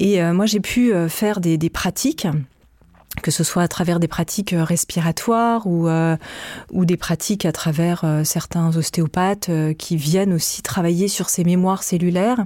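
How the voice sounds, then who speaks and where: A woman speaks at a fairly slow pace in a fairly low, dark, mellow voice. Her loudness stays very even and her intonation fairly even. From France. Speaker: podcast creator and author. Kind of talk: in-depth interview. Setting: studio. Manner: halting, frequent repetitions.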